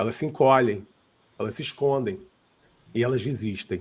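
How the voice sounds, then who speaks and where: A man's voice comes across as somewhat breathy. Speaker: seminar speaker on giftedness and IQ. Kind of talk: seminar talk. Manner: informal.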